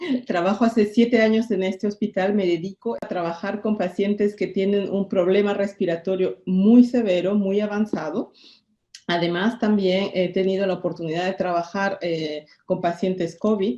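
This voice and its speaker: Medium pitch for a woman, a dark, mellow tone, fairly even intonation and a moderate pace. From Peru. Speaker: pulmonologist. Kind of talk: interview.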